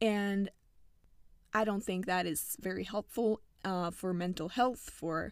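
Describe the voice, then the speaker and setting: Here a woman speaks at a medium pitch. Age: 20s. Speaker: podcast host. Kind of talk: reading aloud. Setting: sitting in a small closet.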